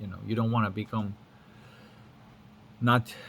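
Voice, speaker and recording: A man talks at a moderate pace. His pitch is medium. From Lithuania. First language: Lithuanian. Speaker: spiritual teacher. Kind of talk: casual monologue. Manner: casual with frequent fillers and repetitions.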